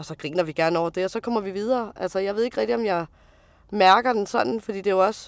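A woman's medium-pitched voice at a very fast pace, with ordinary pitch variation, in a very clean recording with a silent background. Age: 30s. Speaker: truck driver. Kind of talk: interview testimony.

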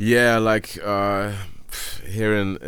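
A man talks with a Flemish accent. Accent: Flemish Dutch-accented English. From Belgium (Dutch-speaking Flanders). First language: Dutch. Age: 20s. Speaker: music producer. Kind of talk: casual chat. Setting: video call.

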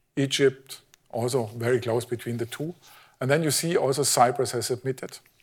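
Somewhat breathy, a man talks at a fairly quick pace and medium pitch with fairly even intonation. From Germany. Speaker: physicist. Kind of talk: lecture. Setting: stage with audience.

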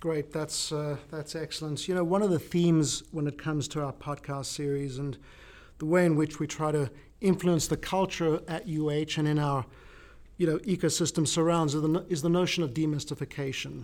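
In a very clean recording with a silent background, a man with a South African accent talks at a fairly quick pace and fairly high pitch, with fairly even intonation. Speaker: podcast host. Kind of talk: casual interview.

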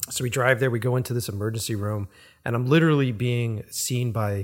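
Somewhat breathy, the voice carries an American accent and moves at a fairly quick pace. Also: man. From Boston. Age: 40s. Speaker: podcast host, filmmaker. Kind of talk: casual chat. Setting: home recording.

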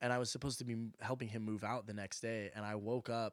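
A man with an American accent, monotone and flat, at a fairly quick pace. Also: very clean recording, silent background. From Oklahoma. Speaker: college friend, music industry worker. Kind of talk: casual chat.

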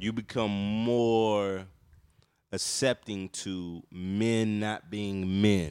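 A man's fairly low voice, very slow, with fairly even intonation, on a very clean recording with a silent background. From North Carolina. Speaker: podcast co-host. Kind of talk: casual chat.

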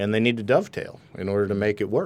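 A man with an American accent and a fairly low pitch, against a quiet background. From Wisconsin. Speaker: author and speaker. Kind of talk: casual interview. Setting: studio.

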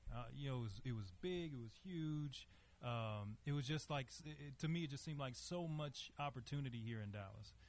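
A man with a Southern US accent speaks at a moderate pace and medium pitch. His voice is somewhat breathy, with ordinary pitch variation. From US South, Monroe, Louisiana. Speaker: lawyer. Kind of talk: interview. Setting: stage with audience.

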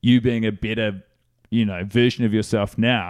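This man talks at a fairly quick pace. His pitch is fairly low and his intonation fairly even. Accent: New Zealand. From New Zealand, Christchurch. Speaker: comedian. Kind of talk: casual chat.

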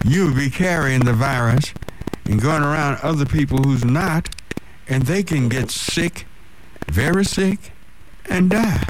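Amid noticeable background noise, a man with a fairly high pitch talks at a fairly slow pace with lively intonation, very even loudness, and long, frequent pauses. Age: 60s. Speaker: radio host. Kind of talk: call-in radio talk show. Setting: radio studio.

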